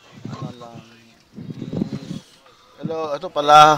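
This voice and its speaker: A man talks in a fairly high pitch. Noticeable background noise can be heard. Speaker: graphic design instructor. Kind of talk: tutorial. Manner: soft-spoken. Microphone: quiet mic, level raised to 80 percent.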